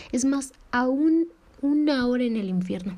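A woman speaks in a high-pitched voice with a dark, mellow tone. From Mexico. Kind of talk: devotional talk.

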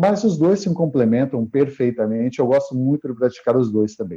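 A man's fairly high voice has a dark, mellow tone and lively intonation. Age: 40s. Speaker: martial arts instructor. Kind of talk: interview. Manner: halting, with many repeated words.

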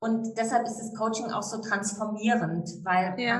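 Audible room echo follows a woman whose intonation stays fairly even. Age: 50s. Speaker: divorce lawyer and breast cancer coach. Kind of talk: casual interview. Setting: outdoors on a sunny terrace.

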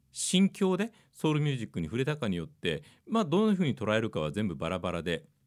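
A man with a medium pitch talks at a very fast pace with very wide pitch swings and vocal fry, on a very clean recording with a silent background. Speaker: radio DJ and podcast host. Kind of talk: solo chart-review monologue.

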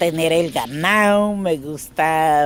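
Against noticeable background noise, a woman speaks very slowly at a fairly low pitch with lively intonation. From Colombia, Caquetá. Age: 60s. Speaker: displaced farmer and seamstress. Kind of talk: personal testimony. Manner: halting.

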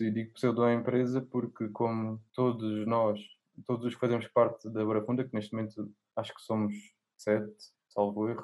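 This man has a medium-pitched voice. His tone is dark and mellow. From Alentejo, Portugal. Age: 20s. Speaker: young writer. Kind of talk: casual chat.

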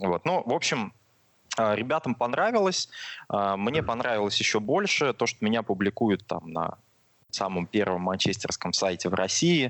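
This is an unremarkable speaking voice with lively intonation. It moves at a fairly slow pace with very even loudness. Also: man, fairly low pitch for a man. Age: 20s. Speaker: football fan YouTube blogger. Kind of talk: casual chat.

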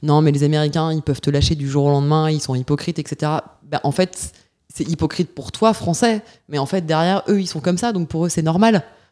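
With a dark, mellow tone and a very deep, low pitch, a woman speaks at a fairly quick pace and with ordinary pitch variation. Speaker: tech startup founder and CEO. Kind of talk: interview. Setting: office.

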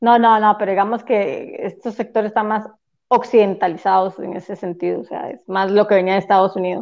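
A woman with a Costa Rican accent speaks at a fairly quick pace in a medium pitch, her intonation fairly even and her loudness swinging widely. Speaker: podcast guest, listener. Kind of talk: casual chat.

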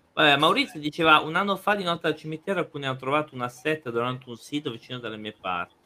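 A man talks very fast with hardly any pauses. His pitch is fairly high and his intonation lively. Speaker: podcast co-host. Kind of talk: casual chat.

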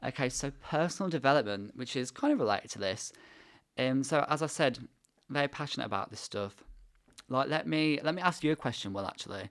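A man with an English accent, fairly high in pitch, at a fairly quick pace, on a very clean recording with a silent background. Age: 20s. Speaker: podcast host and university student. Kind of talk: casual chat.

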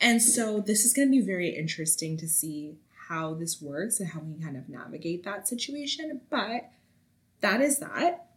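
A somewhat breathy woman talks at a moderate pace, her pitch swinging very widely. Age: 20s. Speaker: podcast host. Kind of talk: casual monologue.

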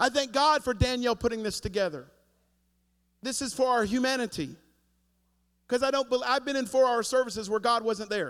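A man talks fairly quickly in an extremely high pitch, with an animated tone and ordinary pitch variation. Long, frequent pauses break up his speech. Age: 40s. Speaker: pastor. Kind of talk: sermon. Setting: church.

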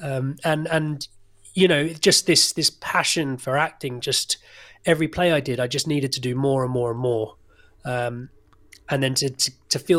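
A man with an English accent and a fairly high voice speaks at a moderate pace with fairly even intonation. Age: 30s. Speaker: actor. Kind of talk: interview.

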